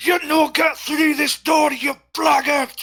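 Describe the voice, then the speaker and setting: A man shouting in a put-on character voice at a fairly slow pace. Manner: shouting, muffled as if through a door.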